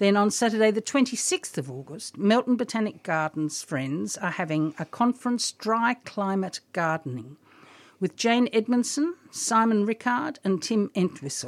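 On a very clean recording with a silent background and a dry, close sound with no echo, a woman of medium pitch talks at a moderate pace with very wide pitch swings. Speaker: radio host and garden guide. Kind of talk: radio gardening talk show. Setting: studio.

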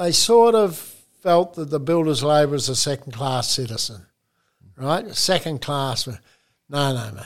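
A man's fairly high voice with an Australian accent, at a fairly slow pace, with long, frequent pauses and big swings in loudness. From Geraldton, Western Australia. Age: 70s. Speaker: retired union official and building worker.

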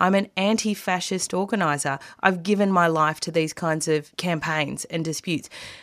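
A woman has an unremarkable speaking voice with fairly low pitch. She talks at a moderate pace. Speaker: radio host. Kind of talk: radio interview with scripted intro. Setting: studio.

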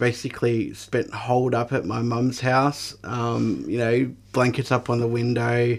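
Flat, monotone intonation from a man with an Australian accent at a medium pitch. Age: 30s. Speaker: mental health peer worker and advocate. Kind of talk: radio interview, personal testimony. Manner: hesitant, many fillers.

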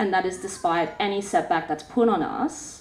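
An Australian accent marks this woman's speech. She talks rather unhurriedly. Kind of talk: panel discussion.

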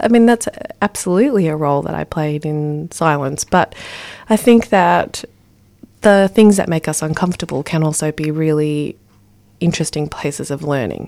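In an Australian accent, a woman with a very deep, low pitch and a dark, mellow tone speaks at a moderate pace on a very clean recording with a silent background. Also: ordinary pitch variation. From Ballarat, Victoria, Australia. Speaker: poet and spoken word performer. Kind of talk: interview.

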